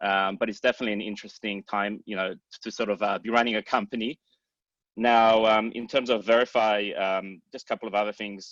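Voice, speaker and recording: In an Australian accent, the speaker talks at a fairly quick pace with monotone, flat intonation, in a dry, close sound with no echo against a quiet background. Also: man, fairly low pitch for a man. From Australia, Sydney. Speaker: startup founder and CEO. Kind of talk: panel introduction on video call.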